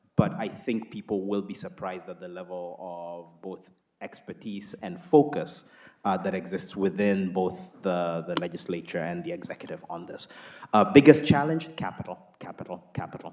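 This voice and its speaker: A man with an ordinary speaking voice talks at a moderate pace and fairly low pitch, his lively intonation paired with big swings in loudness. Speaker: climate investment CEO. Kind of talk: panel discussion answer. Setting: stage with audience.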